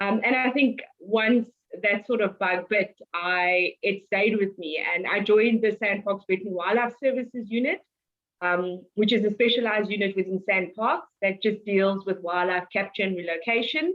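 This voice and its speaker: In a South African accent, the speaker talks at a moderate pace with ordinary pitch variation. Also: woman, medium pitch for a woman. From South Africa, Cape Town. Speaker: wildlife conservationist, head ranger. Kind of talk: interview.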